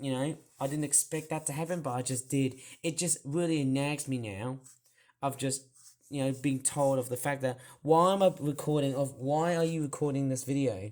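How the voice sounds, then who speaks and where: Here a man speaks with an Australian accent. His pitch is fairly high and his pace moderate. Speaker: toy reviewer. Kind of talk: casual talk to camera, story of an incident.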